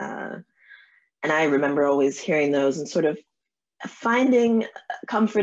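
Against a quiet background, a woman with an American accent speaks at a moderate pace, her very deep, low voice carrying lively intonation. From New Jersey and New York. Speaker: novelist; guest. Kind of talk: interview. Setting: video call. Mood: warm, smiling. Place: home room. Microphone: video call.

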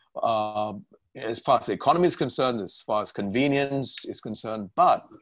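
The man's pace is moderate. Little else can be heard behind him, as the background is quiet. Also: dry sound with no echo. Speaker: interview host. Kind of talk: interview question. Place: home room. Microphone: webcam.

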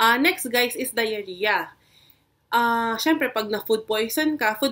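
Over a very clean recording with a silent background, a woman with a bright, sharp tone and fairly high pitch talks fairly slowly, with ordinary pitch variation. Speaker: nurse and health video creator. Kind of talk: educational vlog tutorial. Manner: casual with frequent fillers and code-switching.

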